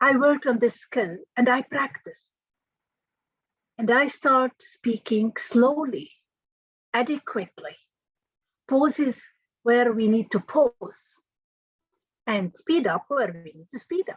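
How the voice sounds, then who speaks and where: A high-pitched woman with a non-native accent, lively intonation, big swings in loudness, a fairly slow pace and long, frequent pauses, in a dry, close sound with no echo. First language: not English. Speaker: engineering trainer and career speaker. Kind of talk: motivational talk. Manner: measured pace with pauses.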